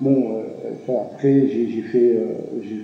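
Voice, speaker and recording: A man's medium-pitched voice at a fairly slow pace, with audible room echo and noticeable background noise. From Algeria. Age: 70s. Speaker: retired cultural center director, writer. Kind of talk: interview testimony. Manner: halting, frequent repetitions and hesitations.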